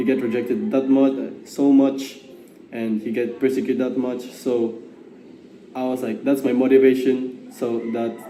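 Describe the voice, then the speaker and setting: Over noticeable background noise and audible room echo, a man talks fairly slowly at a medium pitch with fairly even intonation. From Philippines. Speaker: gap year program participant. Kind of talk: testimony. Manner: halting.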